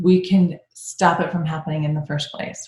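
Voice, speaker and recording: A woman's very deep, low voice, monotone and flat in intonation, somewhat breathy. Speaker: functional medicine doctor. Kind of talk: webinar presentation. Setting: online webinar. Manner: fast.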